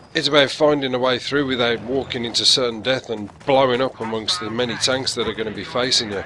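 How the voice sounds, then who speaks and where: A man's medium-pitched voice at a very fast pace with fairly even intonation, against noticeable background noise. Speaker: gaming commentator. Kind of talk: video game commentary.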